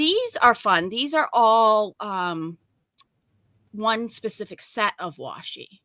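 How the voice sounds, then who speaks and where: A bright, sharp tone with lively intonation, dry and close with no echo. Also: woman. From New England (Maine/Massachusetts). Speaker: crafter demonstrating paper weaving. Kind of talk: craft tutorial livestream chat. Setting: live video stream.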